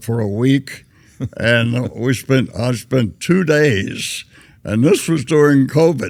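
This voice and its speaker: A man with a Southern US accent speaks at a very slow pace with lively intonation, on a very clean recording with a silent background. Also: medium pitch for a man. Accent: Southern American. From Tennessee. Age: 80s+. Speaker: war veteran. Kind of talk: interview answer.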